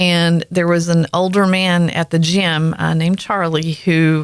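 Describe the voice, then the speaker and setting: With a Southern accent, a woman speaks in a fairly low pitch. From US South, rural North Carolina. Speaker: podcast host. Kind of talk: casual chat. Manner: animated storytelling.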